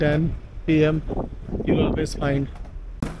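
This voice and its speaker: Noticeable background noise sits behind a man's voice, which has a dry sound with no echo. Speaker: travel vlogger. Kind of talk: casual vlog chat. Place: street. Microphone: phone near.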